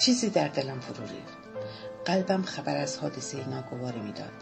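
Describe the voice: What you hear is plain reading aloud.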